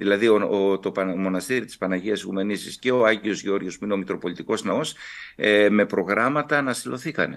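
The man's pitch is fairly low and varies in an ordinary way, with a quiet background behind him. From Kavala, northern Greece; northern Greece. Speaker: Orthodox bishop. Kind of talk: TV interview. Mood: calm, earnest. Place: home room. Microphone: video call.

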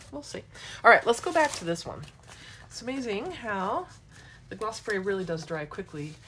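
At a moderate pace, a woman speaks in an animated tone with very wide pitch swings, big swings in loudness and long, frequent pauses, over light background noise. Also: medium pitch for a woman. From Michigan, US. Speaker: mixed-media art instructor. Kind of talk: live craft demo tutorial. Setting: live social media broadcast. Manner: chatty, animated. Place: workshop. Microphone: phone near.

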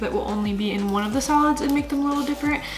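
A woman talks at a fast pace with a high pitch and ordinary pitch variation, with background noise clearly audible.

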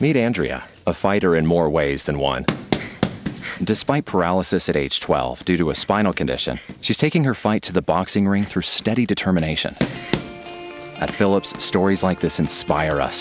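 A man with a very deep, low pitch talks at a moderate pace with lively intonation while music plays in the background. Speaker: voice actor. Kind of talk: radio commercial read.

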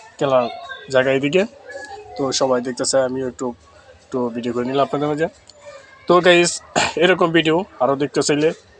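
Music plays in the background. The pitch variation is ordinary. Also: man. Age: 30s. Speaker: content creator and driver. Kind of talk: vlog walkthrough. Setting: outdoors at amusement park. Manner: casual, rambling.

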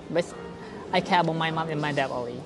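Over music in the background, the speaker uses ordinary pitch variation with a Thai accent. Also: woman. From southern Thailand. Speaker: interview guest. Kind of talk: interview answer. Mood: relaxed, smiling, animated. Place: hall.

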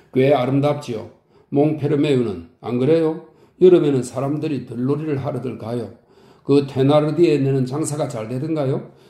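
The voice is somewhat breathy with a dark, mellow tone, moving at a moderate pace with fairly even intonation. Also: man, fairly high pitch for a man. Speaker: audiobook narrator. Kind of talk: audiobook reading of a classic novel. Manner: calm, soothing.

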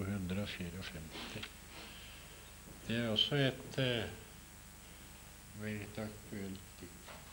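A very slow, fairly low-pitched male voice over light background noise. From Norway. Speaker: poet. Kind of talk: talk about own poems to an audience. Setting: lecture hall with microphone. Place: classroom. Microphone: podium.

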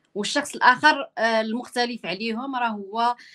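Against a quiet background, a woman talks at a high pitch. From Morocco. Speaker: journalist interviewer. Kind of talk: interview.

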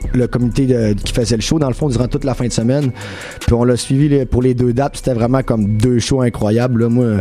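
Delivered at a fairly quick pace in a monotone, flat intonation, the speech has faint music in the background. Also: man. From Quebec, Saguenay; Quebec. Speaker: rapper; interview guest. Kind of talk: radio interview. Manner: casual, many fillers. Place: studio. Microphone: studio mic.

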